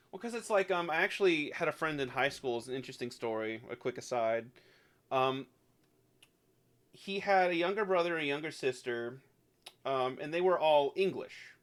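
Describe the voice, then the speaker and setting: A man talks at a moderate pace with lively intonation and a fairly high pitch. He leaves long, frequent pauses. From US South. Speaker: video game streamer. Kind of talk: casual chat. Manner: halting, many fillers.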